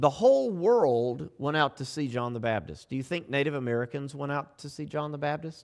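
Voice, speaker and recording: In a very clean recording with a silent background, a man with a Southern US accent talks at a moderate pace in a fairly high pitch. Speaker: pastor. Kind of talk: sermon. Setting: church. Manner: subdued, restrained.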